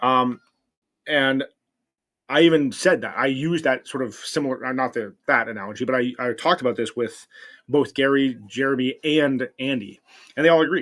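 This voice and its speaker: A man speaks at a medium pitch with ordinary variation. His pace is moderate. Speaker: livestreamer. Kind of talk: casual chat. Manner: loud; halting.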